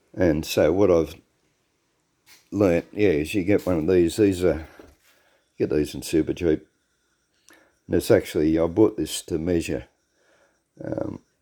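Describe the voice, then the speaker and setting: This man's voice sits very deep and low, with a dark, mellow tone and an Australian accent. He talks at a fairly slow pace with fairly even intonation and long, frequent pauses, in a very clean recording with a silent background. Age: 60s. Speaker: home car mechanic vlogger. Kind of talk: casual workshop tutorial. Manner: casual, repetitive with fillers.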